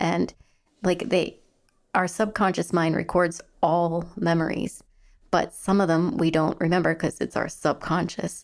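A woman's unremarkable speaking voice, fairly low in pitch, with fairly even intonation and a fairly slow pace. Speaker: podcast host. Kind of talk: interview conversation.

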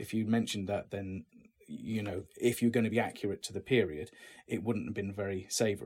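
Speaking fairly quickly with an English accent, a man keeps his fairly low voice fairly even in intonation. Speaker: actor. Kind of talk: interview.

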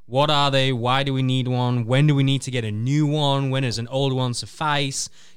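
A man talks in a monotone, flat intonation with hardly any pauses. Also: medium pitch for a man, moderate pace. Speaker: radio co-host. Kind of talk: live radio talk show.

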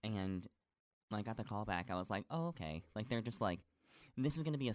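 Against a quiet background, a man with an American accent talks at a very fast pace, his fairly low pitch carried by lively intonation. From upstate New York, north of Syracuse. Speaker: actor and musical theater performer. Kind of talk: casual chat.

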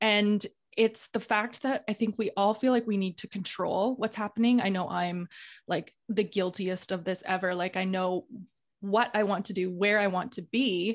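A woman with a normal speaking voice talks at a moderate pace and medium pitch, her intonation fairly even over a quiet background. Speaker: podcast host. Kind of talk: casual interview; solo episode recap.

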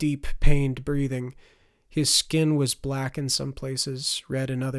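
A natural voice reading aloud, with fairly level melody

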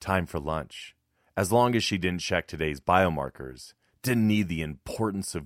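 Quiet background behind a natural reading voice

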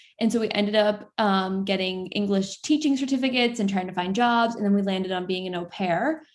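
At a moderate pace, a woman with an American accent uses an ordinary speaking voice, medium pitch and ordinary pitch variation. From Florida. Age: 20s. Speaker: content creator. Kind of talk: casual interview.

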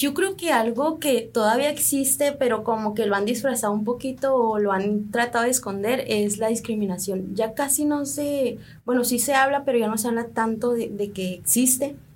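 Using a plain, everyday voice, a woman speaks at a moderate pace with fairly high pitch, ordinary pitch variation and very even loudness. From Sonora, Mexico (Triqui family from Oaxaca). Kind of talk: radio interview.

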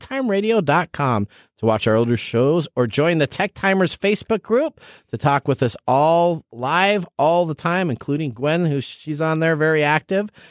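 An ordinary speaking voice with lively intonation. The sound is dry and close, with no echo. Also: man. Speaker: radio host. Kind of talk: infomercial-style sponsor pitch inside a radio show; casual radio show banter. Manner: upbeat, excited salesman delivery with exclamations and repeated promo code.

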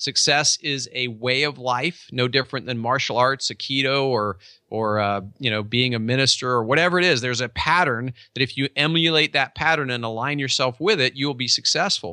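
In a dry, close sound with no echo and a quiet background, a man at a medium pitch talks with an animated, passionate tone, ordinary pitch variation, and hardly any pauses. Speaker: real estate company owner and author. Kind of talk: casual interview chat. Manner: animated, passionate, energetic.

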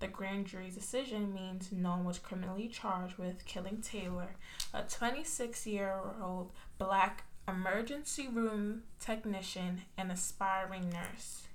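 A woman talks at a fairly slow pace in a medium pitch, with noticeable background noise behind her.

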